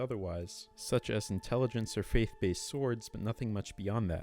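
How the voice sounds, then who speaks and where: Fairly quick delivery with fairly even intonation over music in the background. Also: man. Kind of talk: video game review narration. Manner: monotone.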